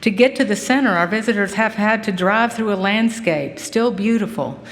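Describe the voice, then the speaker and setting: Over noticeable background noise and audible room echo, a woman with an American accent talks at a moderate pace and a fairly high pitch. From Kentucky, Henry County. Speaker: farm advocacy center director. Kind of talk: speech introducing a lecturer.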